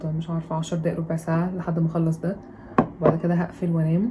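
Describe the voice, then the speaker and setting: A woman talks very fast in a fairly low, monotone, flat voice over noticeable background noise. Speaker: student vlogger. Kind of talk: vlog. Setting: home.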